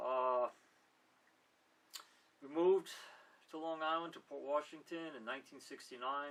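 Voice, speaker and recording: A fairly high-pitched man with a New York accent, fairly even intonation, a moderate pace, long and frequent pauses, and big swings in loudness. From Manhattan, New York City. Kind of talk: interview answer. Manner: casual, conversational.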